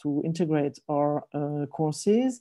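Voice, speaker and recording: A woman with a French accent speaks at a fairly slow pace in a dark, mellow tone and fairly even intonation over a quiet background. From French-speaking Switzerland. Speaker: professor. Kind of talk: conference presentation. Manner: halting, many fillers.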